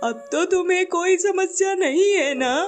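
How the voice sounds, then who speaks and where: A cartoonish character voice plays over clear music in the background. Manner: gentle, warm.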